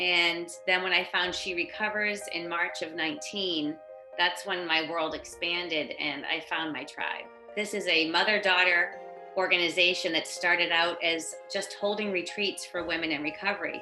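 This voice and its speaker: Music plays in the background and audible room echo surrounds a woman speaking at a moderate pace in a fairly low voice with ordinary pitch variation. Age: 50s. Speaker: person in recovery. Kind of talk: testimony. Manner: casual with frequent fillers.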